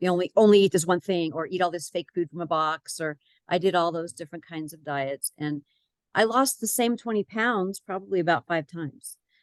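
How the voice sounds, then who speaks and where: A woman with an ordinary speaking voice talks at a fairly low pitch with ordinary pitch variation, in a dry, close sound with no echo. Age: 60s. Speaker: health program client. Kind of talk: testimony.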